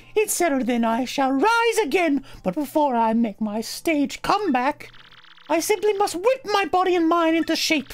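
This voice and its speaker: A put-on character voice, female-sounding and pitched extremely high. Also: moderate pace. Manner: theatrical, dramatic.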